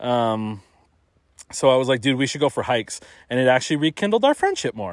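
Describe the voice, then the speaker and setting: Animated in tone, a man talks at a fairly quick pace and medium pitch with ordinary pitch variation, recorded dry and close with no echo. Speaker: podcast host. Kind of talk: casual comedic chat. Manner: joking, animated.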